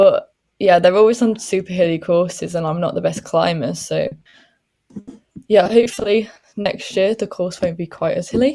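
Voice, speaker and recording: A woman with a Welsh accent speaks at a medium pitch in a dark, mellow tone, with ordinary pitch variation and some vocal fry. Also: moderate pace. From Wales. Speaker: professional cyclist. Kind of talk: interview.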